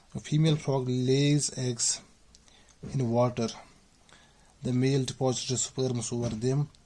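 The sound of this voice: A man at medium pitch, dark and mellow in tone, with little pitch movement and a fairly slow pace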